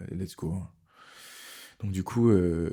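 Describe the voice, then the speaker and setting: A man's voice sits very deep and low, with a dark, mellow tone. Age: 40s. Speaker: tattoo artist. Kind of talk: casual interview.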